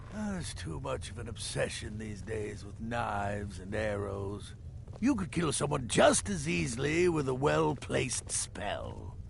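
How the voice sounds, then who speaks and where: Over clear background noise, a man uses a put-on character voice. He talks at a moderate pace. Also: fairly low pitch for a man. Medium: video game. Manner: dry, grumbling.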